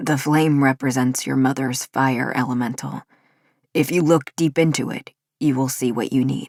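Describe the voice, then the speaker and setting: The speaker uses a put-on character voice at a moderate pace. Its pitch falls in the low-to-middle range. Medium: read story. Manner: calm, earnest.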